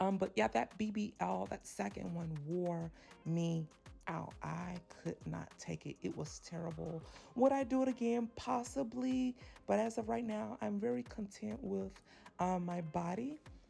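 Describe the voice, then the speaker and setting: A woman speaks at a fairly slow pace in a fairly low, somewhat breathy voice, her pitch swinging very widely. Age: 30s. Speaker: vlogger. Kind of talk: casual chat. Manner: halting, many fillers.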